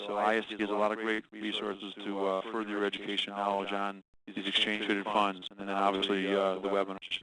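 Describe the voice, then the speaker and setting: A man talks at a very fast pace with hardly any pauses. His fairly low voice stays monotone and flat. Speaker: trading instructor. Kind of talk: webinar lecture. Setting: online webinar. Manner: casual, hesitant with fillers.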